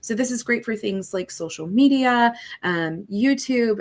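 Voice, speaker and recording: At a moderate pace and with ordinary pitch variation, a woman speaks in a plain, everyday voice. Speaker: app product expert. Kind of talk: product tutorial in live Q&A.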